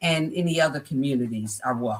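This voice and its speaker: A woman with an American accent talks at a moderate pace. Her intonation is lively. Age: 60s. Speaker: life coach and entrepreneur. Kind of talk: podcast interview, personal testimony.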